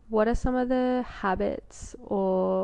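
A woman speaks in an Australian accent. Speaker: podcast host. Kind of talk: interview and podcast narration.

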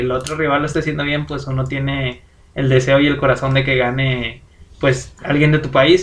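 Noticeable background noise fills the recording. A man talks fairly quickly over it. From Mexico. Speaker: podcast co-host. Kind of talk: casual chat.

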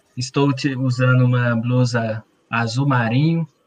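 Using a plain, everyday voice, a man speaks at a medium pitch with fairly even intonation. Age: 30s. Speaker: patient association president, co-host. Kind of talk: announcements on live stream.

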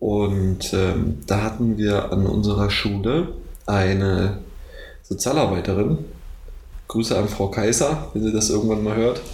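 A man at a fairly low pitch and a fairly slow pace, with ordinary pitch variation, very even loudness, long, frequent pauses and audible room echo. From Brandenburg, Germany (Neuruppin). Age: 20s. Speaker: university student. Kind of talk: casual chat.

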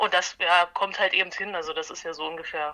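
A woman's fairly low-pitched voice with fairly even intonation over noticeable background noise. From Halle, Saxony-Anhalt, eastern Germany. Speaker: punk bassist and concert organizer. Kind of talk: casual interview.

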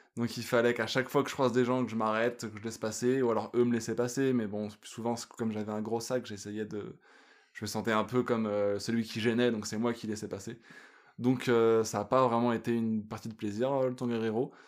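A man talks at a fairly quick pace and a medium pitch. His intonation is monotone and flat. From France. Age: 30s. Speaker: hiker. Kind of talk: casual interview.

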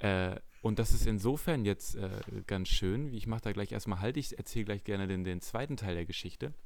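An ordinary speaking voice from a man, fairly low in pitch, with ordinary pitch variation at a moderate pace. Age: 20s. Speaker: podcast host, fitness studio manager. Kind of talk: casual chat.

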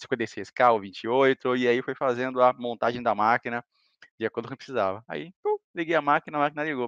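This is an ordinary speaking voice, a man's, at medium pitch with ordinary pitch variation. The sound is dry and close with no echo, and the background is quiet. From Salvador, Bahia, Brazil. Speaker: cloud engineer. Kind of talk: casual chat.

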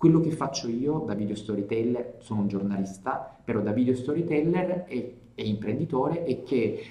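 Speaking at a moderate pace with hardly any pauses, a man with a medium pitch and a somewhat breathy voice uses lively intonation amid audible room echo. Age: 30s. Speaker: journalist and video storyteller. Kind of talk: casual interview.

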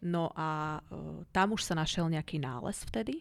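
A woman with a plain, everyday voice speaks at a moderate pace and fairly low pitch on a very clean recording with a silent background. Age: 40s. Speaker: cancer survivor. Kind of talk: interview.

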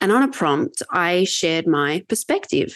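With an Australian accent, a woman speaks in a fairly low voice and lively intonation. The background is quiet. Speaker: sales enablement leader. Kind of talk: casual interview conversation.

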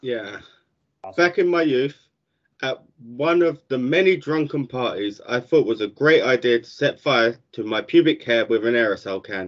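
Lively intonation runs through this man's unremarkable speaking voice, pitched in the medium range. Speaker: podcast co-host. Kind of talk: casual banter.

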